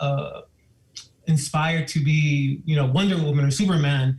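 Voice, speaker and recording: A man's fairly high voice, somewhat breathy, at a fairly slow pace with fairly even intonation. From Miami, Florida (Cuban and Puerto Rican family). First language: Spanish. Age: 50s. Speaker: school administrator. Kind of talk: public comment at a board meeting. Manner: halting, with many fillers.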